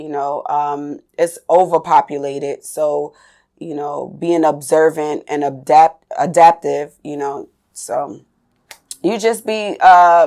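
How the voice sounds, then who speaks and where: A woman with a slight New York accent, very deep and low in pitch, with ordinary pitch variation, a very slow pace and big swings in loudness. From New York City, Staten Island. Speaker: dancer. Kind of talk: interview.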